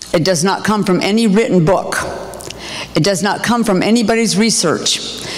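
Audible room echo and noticeable background noise surround a woman speaking at a medium pitch with ordinary pitch variation. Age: 60s. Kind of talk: sermon-style testimony.

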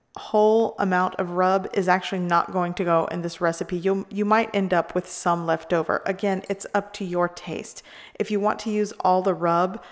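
Against a quiet background, a woman speaks at a moderate pace with monotone, flat intonation. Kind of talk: cooking tutorial. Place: kitchen.

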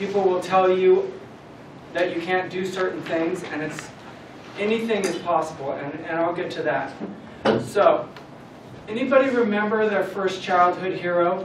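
Long, frequent pauses break up a man's speech, his pitch high. Light background noise and audible room echo are present. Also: ordinary pitch variation, moderate pace. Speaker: guest. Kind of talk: motivational talk. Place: classroom. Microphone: camera far.

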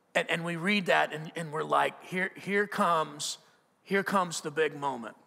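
Against a quiet background, a man speaks in a high, bright, sharp tone that sounds animated. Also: ordinary pitch variation, moderate pace. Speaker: preacher. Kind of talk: sermon. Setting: church. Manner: conversational, animated, with repeated restarts and rhetorical questions. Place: church. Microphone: headset.

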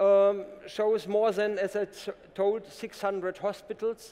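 Speaking very slowly with a German accent, a man holds a high pitch in a monotone, flat delivery. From Germany. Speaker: company co-founder and CTO. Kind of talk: conference company presentation. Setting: conference stage with audience. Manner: formal, businesslike. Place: stage. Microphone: headset.

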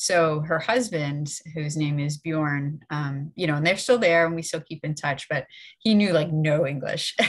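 The background is quiet as a woman talks at a moderate pace. Her very deep, low voice is somewhat breathy, with ordinary pitch variation. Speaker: library event host. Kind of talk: event introduction and Q&A moderation. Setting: video call. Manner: halting, many fillers. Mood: friendly, relaxed. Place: home room. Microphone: webcam.

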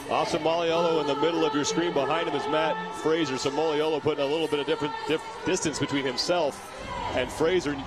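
The voice has an energetic tone and a very fast pace. Noticeable background noise runs underneath. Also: man, fairly high pitch for a man. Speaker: play-by-play commentator. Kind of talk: live sports commentary. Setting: broadcast booth at the stadium. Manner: fast, energetic play-by-play, quickly calling out athletes' positions and places.

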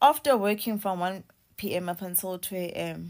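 The background stays quiet. A woman talks at a moderate pace. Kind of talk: casual vlog chat, complaint story. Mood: frustrated, indignant. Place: home room. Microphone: phone near.

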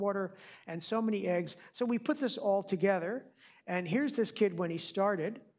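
Speaking fairly quickly with an American accent, a man uses a high pitch with ordinary pitch variation. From Long Island, New York. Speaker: physician. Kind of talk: public lecture. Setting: auditorium with audience.

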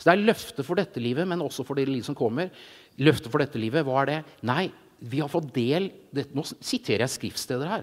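Against a quiet background, a man with a fairly high voice talks fairly quickly in an animated tone, with ordinary pitch variation. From Norway, Jessheim (Romerike); Norway. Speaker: illustrator and preacher; preacher. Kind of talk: sermon. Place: stage. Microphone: handheld.

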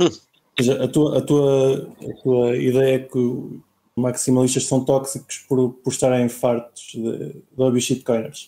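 A man with a dark, mellow tone talks very slowly in a monotone, flat delivery. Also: medium pitch for a man. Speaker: podcast host. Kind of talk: casual chat.

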